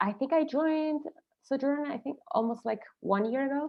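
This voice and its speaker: A woman speaks with a strong Argentine accent. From Argentina. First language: Spanish. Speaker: marketing automation consultant. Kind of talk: webinar presentation. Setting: video call.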